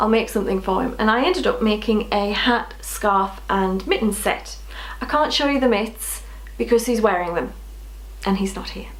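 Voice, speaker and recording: A woman talks at an even, middling speed, her voice echoing audibly in the room over clearly noticeable background noise. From northeast England. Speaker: knitting podcaster. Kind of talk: casual chat.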